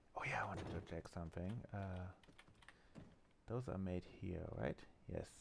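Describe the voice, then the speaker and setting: A quiet man with a very deep, low pitch and ordinary pitch variation speaks with long, frequent pauses. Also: moderate pace. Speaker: gaming streamer. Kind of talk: live gameplay commentary. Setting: home, roommate asleep. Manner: quiet, low voice; hesitant, many fillers.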